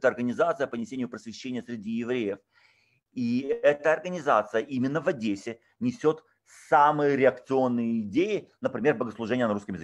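An ordinary speaking voice from a man at medium pitch, at a fairly quick pace, with ordinary pitch variation and big swings in loudness. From Odessa, Ukraine; Ukraine. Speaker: tour guide and lecturer; tour guide, lecturer. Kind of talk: online lecture. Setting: video call. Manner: informal, chatty. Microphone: webcam.

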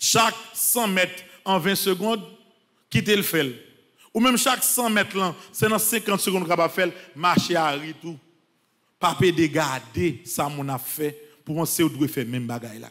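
A man with a high pitch and a bright, sharp tone speaks in a Haitian accent against a quiet background. His intonation is lively, his pace fairly slow, with long, frequent pauses and big swings in loudness. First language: Haitian Creole (speaking French). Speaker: priest. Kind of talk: sermon. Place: church. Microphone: podium.

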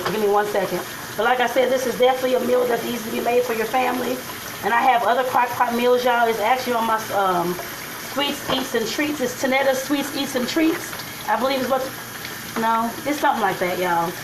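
A woman speaks fairly quickly with ordinary pitch movement, and background noise is noticeable. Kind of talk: casual live-stream cooking chat. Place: kitchen. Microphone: phone near.

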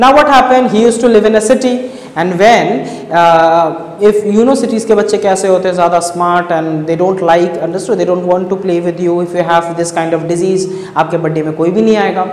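With audible room echo, a man speaks in a high pitch with ordinary pitch variation. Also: fairly quick pace. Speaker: teacher. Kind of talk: lecture. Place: classroom. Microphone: lapel.

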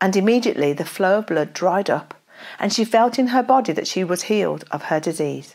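Against a quiet background, a woman speaks at a moderate pace with very wide pitch swings. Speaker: speaker. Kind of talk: devotional talk and scripture reading. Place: home room. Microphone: lapel.

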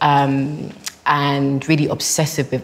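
The speaker is a woman. Her voice sits very deep and low. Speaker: guest. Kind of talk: personal testimony in group discussion. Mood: calm, earnest, reflective. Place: hall.

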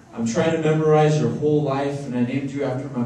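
A man talking at a fairly quick pace, with audible room echo. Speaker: slam poet. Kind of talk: slam poetry performance. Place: hall. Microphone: camera far.

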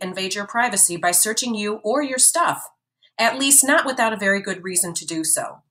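The background stays quiet while the speaker reads aloud in a natural voice.

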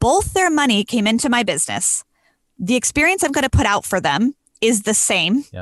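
A woman with a fairly high pitch and vocal fry talks at a moderate pace, her pitch swinging very widely. The sound is dry with no echo, and the background is quiet. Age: 30s. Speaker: wedding photographer. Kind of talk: casual chat. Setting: video call. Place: home room. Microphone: studio mic.

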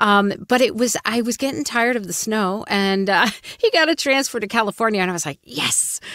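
A woman with an East Coast American accent speaks at a fairly quick pace in a fairly high voice, her intonation lively and her tone bright and sharp. The sound is dry with no echo, over a quiet background. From US East Coast. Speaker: voice actor and coach. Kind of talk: interview conversation. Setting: video call. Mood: warm, upbeat storytelling. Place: booth. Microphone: studio mic.

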